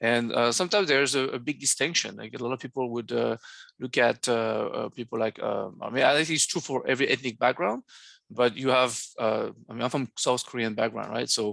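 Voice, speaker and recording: A man with a French accent speaks at a fairly quick pace and medium pitch, with vocal fry and ordinary pitch variation. The sound is dry and close with no echo, over a quiet background. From France. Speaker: academic seminar moderator. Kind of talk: academic seminar discussion. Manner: halting, many fillers.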